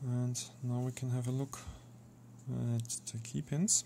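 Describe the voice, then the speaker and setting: A very slow pace with a non-native accent. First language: not English. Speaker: lockpicking hobbyist. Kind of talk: casual tutorial talk to camera. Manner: quiet, not speaking up, frequent sighing.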